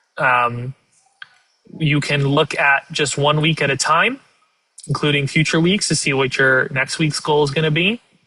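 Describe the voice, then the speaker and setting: A fairly high-pitched man's voice at a moderate pace, with very even loudness, fairly even intonation and long, frequent pauses. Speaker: volunteer trainer. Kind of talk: training tutorial with software demo. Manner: hesitant, many uhs.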